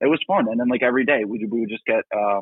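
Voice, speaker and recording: This man has an ordinary speaking voice at a medium pitch, with ordinary pitch variation and an American accent. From New Jersey. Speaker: rock band singer and guitarist. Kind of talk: casual interview. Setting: call-in line to live show.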